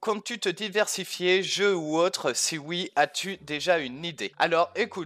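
This man speaks with a fairly high pitch. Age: 20s. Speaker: gaming YouTuber; gaming youtuber. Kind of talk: casual Q&A to camera. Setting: facecam recording. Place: home room. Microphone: headset.

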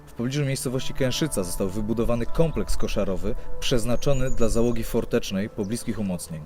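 With music in the background, a man talks at a very fast pace with hardly any pauses, using a medium pitch and ordinary pitch variation. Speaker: on-screen host, urban explorer. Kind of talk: documentary presentation on location.

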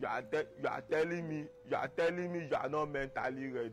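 A moderate pace, with faint music in the background. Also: man. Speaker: comedy skit actor. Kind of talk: comic skit monologue. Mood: mock scolding, animated. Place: street. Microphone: lapel.

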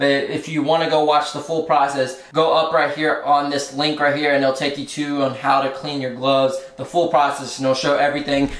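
A man's monotone, flat delivery with audible room echo. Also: fairly quick pace, hardly any pauses. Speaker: college athlete vlogger. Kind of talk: casual vlog chat. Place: home room. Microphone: phone near.

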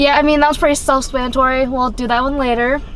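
Female speech, dry sound with no echo, light background noise underneath. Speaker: co-host of a drink review channel. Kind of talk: casual review chat. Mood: cheerful, relaxed. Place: car. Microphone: phone near.

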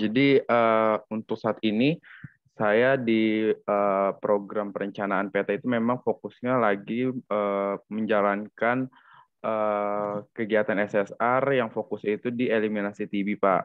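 Against a quiet background, a man speaks at a very slow pace in a fairly low, monotone voice with flat intonation. The sound is dry, with no echo. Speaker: university student intern. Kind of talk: casual discussion. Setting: video call. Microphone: video call.

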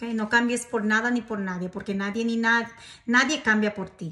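This woman has a fairly high pitch, fairly even intonation and a fairly bright tone.

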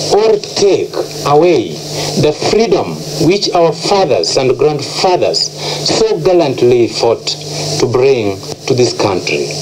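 Over noticeable background noise, a man talks at a very slow pace with long, frequent pauses. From Kenya. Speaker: air force rebel soldier. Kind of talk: radio broadcast announcement. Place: studio. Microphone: old recording.

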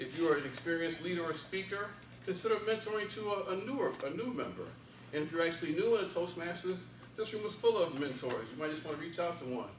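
Amid light background noise and audible room echo, a man talks at a very fast pace in a high pitch with lively intonation. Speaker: speech contestant, office worker. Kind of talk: contest speech. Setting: stage with audience. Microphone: camera far.

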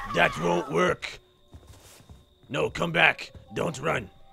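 Faint music plays in the background as a man talks very slowly in a raspy, fairly high-pitched voice. It is a put-on character voice. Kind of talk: comic horror villain voice. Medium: game stream. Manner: creepy, mock-pleading then menacing.

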